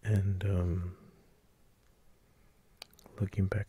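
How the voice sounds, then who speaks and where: Soft-spoken delivery at a very slow pace. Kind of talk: casual talk to camera, fragrance shopping video.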